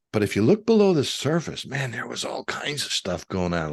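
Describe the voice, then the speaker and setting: In a Midwestern American accent, a man with vocal fry talks at a fairly quick pace, his pitch swinging very widely against a quiet background. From US Midwest, suburban Detroit. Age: 70s. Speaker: author and retired minister. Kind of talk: interview conversation. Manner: hesitant, many fillers.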